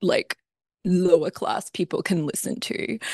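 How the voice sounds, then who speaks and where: Woman with an Australian accent at a moderate pace, in dry, close sound with no echo. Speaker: composer. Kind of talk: interview.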